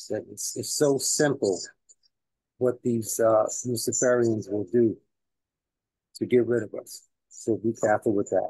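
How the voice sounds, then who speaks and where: Somewhat breathy and dark, mellow in tone, a man of medium pitch with a New York accent speaks at a fairly slow pace with fairly even intonation and long, frequent pauses. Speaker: community elder. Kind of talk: talk at a community celebration. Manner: halting, many fillers.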